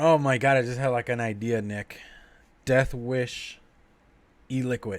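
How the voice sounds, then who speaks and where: In a very clean recording with a silent background, a man speaks in a flat monotone at a medium pitch. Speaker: vlogger reviewing beer on livestream. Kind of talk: casual livestream chat.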